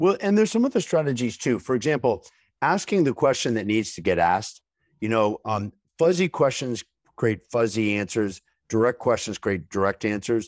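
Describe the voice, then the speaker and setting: In a very clean recording with a silent background and a dry, close sound with no echo, a man speaks at a medium pitch with lively intonation. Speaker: business communication consultant and author. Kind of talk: interview. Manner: fast.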